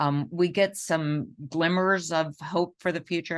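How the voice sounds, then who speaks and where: A woman with an American accent at a fairly slow pace, the background quiet. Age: 70s. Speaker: physician and professor. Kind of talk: lecture.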